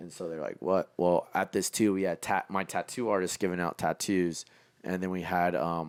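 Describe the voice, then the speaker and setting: The speaker has an energetic tone and a fairly quick pace, in a very clean recording with a silent background. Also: man. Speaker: clothing designer and entrepreneur. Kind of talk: casual podcast interview. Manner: loud, energetic.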